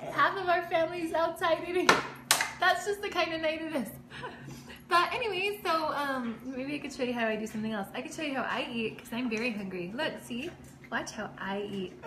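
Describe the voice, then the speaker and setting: Against noticeable background noise, a woman speaks in a raised, projected voice. She talks at a fairly quick pace with very wide pitch swings. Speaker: vlogger. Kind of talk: casual vlog chat. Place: kitchen. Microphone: phone near.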